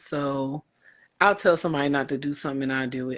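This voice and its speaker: Against a quiet background, a woman speaks in a very deep, low voice with monotone, flat intonation. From Philadelphia, Puerto Rican American. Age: 40s. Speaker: podcast guest. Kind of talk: casual interview chat.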